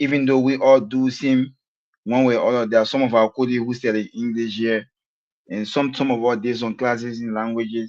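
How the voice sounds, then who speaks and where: At a fairly quick pace, a man speaks with a medium pitch. His intonation is monotone and flat. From Liberia. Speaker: live show host. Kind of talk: live interview. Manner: halting.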